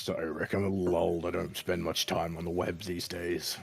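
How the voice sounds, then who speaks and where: Putting on a character voice, a man speaks at a moderate pace in a raspy, very deep, low pitch with monotone, flat intonation. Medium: actual play. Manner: blunt, laconic.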